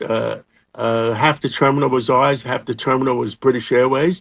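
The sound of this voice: A man speaks at a medium pitch and a moderate pace. Vocal fry runs through his voice.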